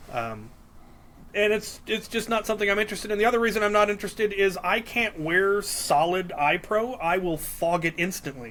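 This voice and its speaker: A man with a Midwestern accent at a fairly quick pace. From Minnesota. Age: 40s. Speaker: Nerf hobbyist. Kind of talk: casual chat. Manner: hesitant with fillers.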